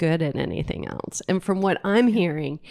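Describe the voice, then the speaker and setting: In a Southern US accent, the speaker has an animated tone with ordinary pitch variation. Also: woman. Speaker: interview host. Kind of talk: interview. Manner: slow.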